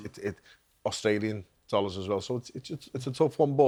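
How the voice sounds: At a moderate pace, a man talks in a fairly low pitch with a slightly mellow tone and ordinary pitch variation.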